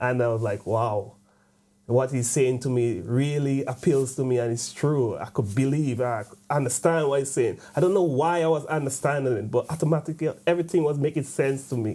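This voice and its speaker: This man has a dark, mellow tone and a fairly high pitch, speaking at a fairly quick pace with ordinary pitch variation. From Grenada, Caribbean. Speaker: convert interviewee. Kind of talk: testimony. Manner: halting, with frequent fillers.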